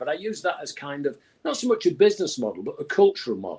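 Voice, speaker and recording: A man talks with a Manchester accent. His pace is very fast. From England, Manchester. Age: 70s. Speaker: music executive. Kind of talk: interview. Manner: animated.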